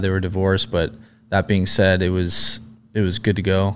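A man with an American accent and fairly low pitch speaks in a very clean recording with a silent background. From Southern California. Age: 30s. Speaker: former Navy SEAL and police officer. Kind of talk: interview.

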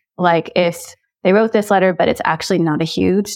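An American-accented woman with vocal fry speaks at a moderate pace and medium pitch with lively intonation. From United States. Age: 40s. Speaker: author and advice columnist. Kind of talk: casual advice discussion.

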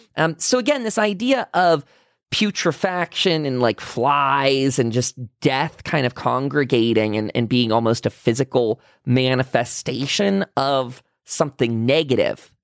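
In a very clean recording with a silent background, dry and close with no echo, a man with an ordinary speaking voice talks at a medium pitch and a fairly slow pace with lively intonation. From Pennsylvania. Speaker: paranormal podcast host. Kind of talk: casual chat; sales pitch.

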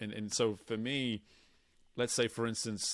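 A man with an English accent, fairly low in pitch, at a moderate pace, on a very clean recording with a silent background. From England. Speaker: performance coach. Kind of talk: casual chat.

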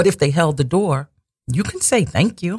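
Somewhat breathy, a man speaks with very wide pitch swings in a dry, close sound with no echo. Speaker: radio host. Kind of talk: religious talk radio show. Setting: radio studio. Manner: pausing, swallowing often.

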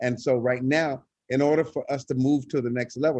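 Here is an ordinary speaking voice from a man with an American accent, at a medium pitch. His intonation is fairly even, and the sound is dry and close with no echo. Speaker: choir director, nonprofit leader. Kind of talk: casual interview.

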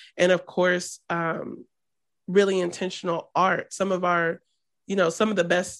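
At a moderate pace, a woman with a fairly low pitch and vocal fry keeps her intonation fairly even against a quiet background. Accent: American. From US Midwest, Columbus, Ohio. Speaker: storyteller and filmmaker. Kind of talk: casual interview.

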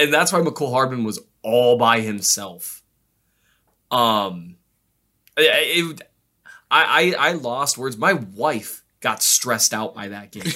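A man speaks at a very slow pace with long, frequent pauses, lively intonation, big swings in loudness and a bright, sharp tone, on a very clean recording with a silent background. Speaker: football podcast co-host. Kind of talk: casual chat. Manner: less loud and lower-pitched than co-hosts.

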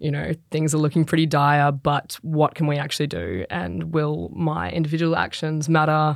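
With an Australian accent, a woman talks at a moderate pace in a very deep, low pitch with ordinary pitch variation. The recording is very clean, with a silent background. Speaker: professional footballer. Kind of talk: casual chat.

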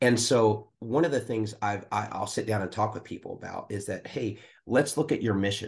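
Medium in pitch with ordinary variation, a man speaks at a moderate pace. There is a somewhat breathy quality to his voice. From US Northeast, Philadelphia area. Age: 50s. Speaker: pastor. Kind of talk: casual chat.

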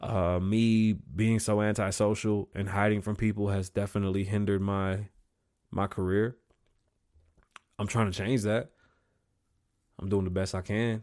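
In a very clean recording with a silent background, a man speaks at a fairly slow pace with long, frequent pauses, a fairly low pitch, little pitch movement and a slightly mellow tone.

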